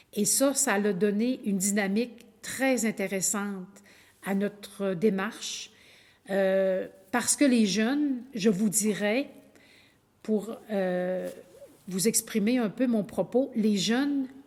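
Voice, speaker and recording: A woman with a Quebec accent and fairly high pitch speaks at a very slow pace, with ordinary pitch variation and long, frequent pauses. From Quebec (Innu community, Lac-Saint-Jean region). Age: 60s. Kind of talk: lecture. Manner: halting.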